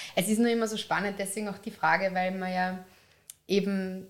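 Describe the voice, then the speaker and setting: Her intonation stays flat and monotone throughout as the woman speaks. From Upper Austria. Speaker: podcast host, magazine editor. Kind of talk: interview.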